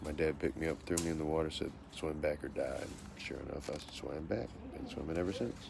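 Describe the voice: Extremely low in pitch, a man speaks at a fairly quick pace with vocal fry. His pitch variation is ordinary.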